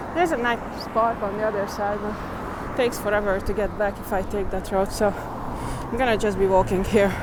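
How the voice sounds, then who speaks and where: A woman with a non-native accent, medium pitch, fairly even intonation and a fairly quick pace, with audible room echo and noticeable background noise. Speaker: walking-tour vlogger. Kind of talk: casual vlog narration while walking. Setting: outdoors, walking city streets. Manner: casual, chatty, thinking aloud.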